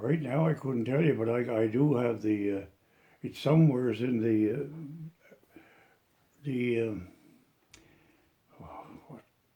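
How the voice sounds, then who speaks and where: A man with a Cape Breton accent talks at a fairly slow pace in a dark, mellow tone, his medium pitch varying in an ordinary way. His loudness swings widely, and long pauses come often. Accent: Cape Breton Nova Scotia. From Cape Breton, Nova Scotia, Canada. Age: 80s+. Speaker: elderly local resident sharing memories. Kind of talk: oral history interview. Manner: halting, with many false starts.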